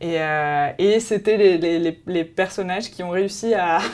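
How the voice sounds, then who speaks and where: This is a woman speaking at a fairly low pitch. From France, with Colombian family. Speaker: travel magazine presenter. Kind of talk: promotional interview. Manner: hesitant, many fillers.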